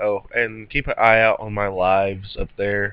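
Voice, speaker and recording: Speaking very slowly, a man has a bright, sharp tone. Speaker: gaming youtuber. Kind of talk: let's play commentary. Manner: animated; halting.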